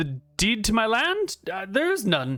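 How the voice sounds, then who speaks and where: Putting on a character voice, a man talks at a high pitch and a fairly slow pace, with very wide pitch swings. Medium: actual play. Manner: stammering, deferential.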